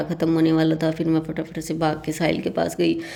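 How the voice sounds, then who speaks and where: A woman speaks at a fairly slow pace in a very deep, low pitch, with noticeable background noise behind her. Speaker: vlogger. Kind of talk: vlog narration.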